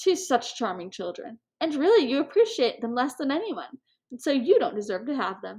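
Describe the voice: A woman puts on a character voice, high-pitched with big pitch swings, a slightly mellow tone and a slightly husky edge, at a moderate pace.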